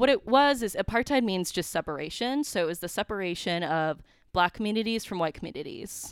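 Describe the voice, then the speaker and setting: Woman with an American accent, medium pitch and very wide pitch swings, at a fairly quick pace, in a dry, close sound with no echo on a very clean recording with a silent background. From central Wisconsin. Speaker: recent graduate, business employee. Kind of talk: casual interview.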